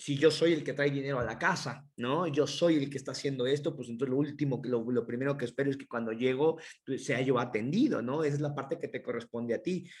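Very fast speech comes from a man with a fairly high pitch. His intonation stays fairly even. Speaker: podcast co-host. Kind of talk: casual chat.

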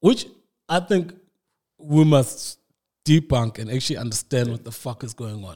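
Recorded very cleanly against a silent background, a man with a dark, mellow, somewhat breathy medium-pitched voice speaks at a moderate pace with big swings in loudness. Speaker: podcast host. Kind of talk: casual chat.

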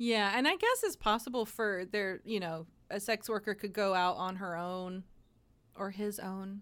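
Speaking at a moderate pace and medium pitch, a woman has a normal speaking voice in a very clean recording with a silent background. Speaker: podcast host. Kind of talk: casual chat.

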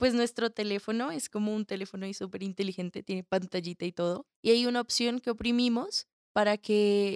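A woman speaks at a fairly quick pace with hardly any pauses, her medium pitch kept in fairly even intonation. She has a slight Colombian accent, and the sound is dry and close with no echo. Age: young. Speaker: theatre student and call center agent. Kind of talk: interview.

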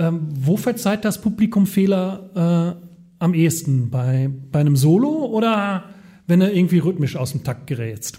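The man's tone is dark and mellow, with a high pitch. He talks at a fairly slow pace. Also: lively intonation. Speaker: podcast co-host and former DJ. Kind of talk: casual chat. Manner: halting, many fillers.

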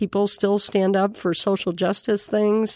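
With an Upper Midwest accent, a woman speaks at a medium pitch and a fairly slow pace in a monotone, flat intonation. The recording is very clean, with a silent background. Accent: Upper Midwest American. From South Dakota, Miller. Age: 50s. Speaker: nun, prioress of a monastery. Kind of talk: interview conversation. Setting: studio in a bar.

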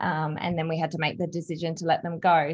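With an Australian accent, a woman is speaking. The background is quiet. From Australia, Adelaide. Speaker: canine massage and holistic pet health practitioner. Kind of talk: interview.

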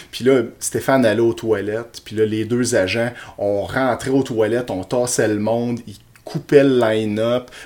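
A man with a Quebec accent speaks at medium pitch and a fairly slow pace. His loudness swings widely. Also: fairly even intonation. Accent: Québécois French. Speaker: podcast co-host. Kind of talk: casual chat.

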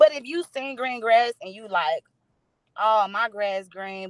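A woman's unremarkable speaking voice with an American accent, medium in pitch, in a dry, close sound with no echo. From East St. Louis, Illinois. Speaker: swim coach and business owner. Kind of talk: casual chat.

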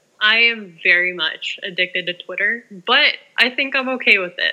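A woman's ordinary pitch variation is heard over noticeable background noise. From Canada. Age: young (19). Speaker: sports fan on social media. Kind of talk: casual interview chat.

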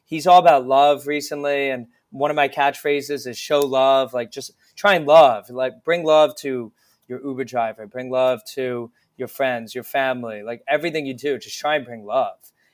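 A man with an American accent speaks at a moderate pace and medium pitch. His loudness swings a lot. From New Jersey. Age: 20s. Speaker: comedy show producer. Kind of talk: casual chat. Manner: animated.

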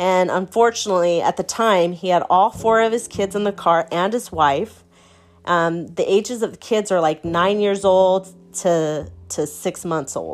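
A woman speaking fairly slowly with ordinary pitch variation, music playing in the background. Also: medium pitch for a woman. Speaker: podcast host. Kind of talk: casual storytelling monologue. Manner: speeds up and stutters when excited.

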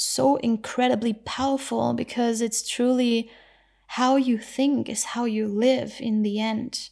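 A woman speaks at a fairly high pitch with a dark, mellow tone and monotone, flat intonation. The recording is very clean, with a silent background. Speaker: podcast host and spiritual teacher. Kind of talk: reflective monologue. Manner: unscripted, flowing.

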